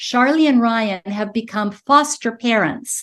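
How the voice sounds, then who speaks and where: Speaking with an American accent, a woman has a high pitch. Her pace is moderate and her pitch varies in an ordinary way. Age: 70s. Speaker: network marketing business founder. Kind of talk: interview. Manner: animated.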